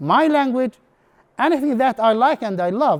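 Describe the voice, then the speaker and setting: A speaker with an Arabic accent and lively intonation. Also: man. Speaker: English instructor. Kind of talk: conference presentation. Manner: halting.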